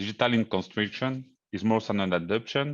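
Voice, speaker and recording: A man's medium-pitched voice with a French accent and ordinary pitch variation, over a quiet background. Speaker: engineering consultant. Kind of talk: conference presentation. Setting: virtual conference. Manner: hesitant.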